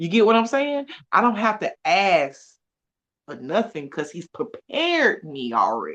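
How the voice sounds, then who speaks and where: Fairly high in pitch, a woman speaks with an animated tone, very wide pitch swings and vocal fry at a fairly slow pace against a quiet background. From US South, Atlanta, Georgia. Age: 30s. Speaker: wellness event host. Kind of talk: casual chat.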